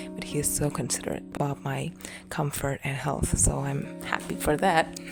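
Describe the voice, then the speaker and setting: A soft-spoken woman talks in a calm tone at a moderate pace. Music plays in the background. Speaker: relaxation podcast host. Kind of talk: sleep talk. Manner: soft-spoken, calm.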